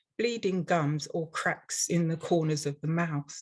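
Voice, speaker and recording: A woman with an English accent speaks at a fairly slow pace. Her voice is somewhat breathy, with ordinary pitch variation. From London, England. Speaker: dental hygienist and instructor. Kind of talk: webinar presentation.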